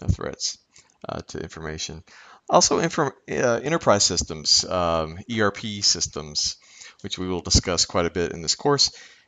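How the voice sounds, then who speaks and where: Here is a man with a very deep, low pitch. He speaks with a slight Kentucky accent. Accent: slight Kentucky twang. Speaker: professor. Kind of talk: lecture. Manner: halting, many fillers.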